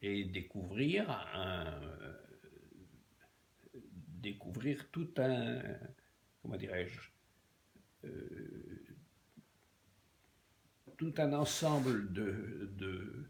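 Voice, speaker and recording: A man's fairly low pitch with very wide swings, vocal fry, a very slow pace and long, frequent pauses. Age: 80s+. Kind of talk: interview answer. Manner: halting, hesitant speech.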